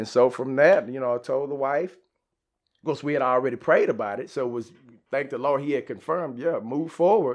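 Here a man with an American accent speaks in a normal speaking voice at a fairly high pitch. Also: ordinary pitch variation, fairly quick pace. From Dallas area, Texas. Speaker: church member sharing testimony, liver cancer survivor. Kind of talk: testimony.

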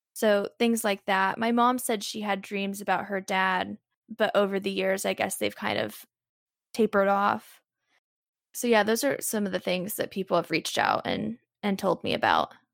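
Monotone and flat, a woman with an American accent speaks at a medium pitch and a moderate pace, with a dry, close sound, no echo and a very clean recording with a silent background. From US Midwest, Southern Illinois. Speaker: singer-songwriter. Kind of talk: interview conversation.

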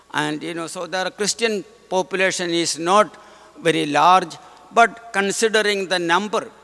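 Over noticeable background noise, a man talks fairly slowly with fairly even intonation. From India, Kerala. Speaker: visiting missionary priest. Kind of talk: homily. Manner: halting, many fillers.

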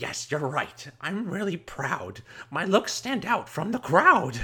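The pace here is fairly slow. It is a put-on character voice pitched in the middle. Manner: delighted, proud.

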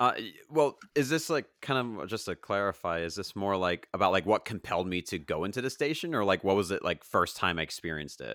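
A man with an American accent and a normal speaking voice, fairly low in pitch, with lively intonation at a fairly quick pace and hardly any pauses, in a very clean, dry, close recording with a silent background and no echo. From Long Island, New York. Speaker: former college radio DJ. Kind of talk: interview. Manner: many fillers (um, like).

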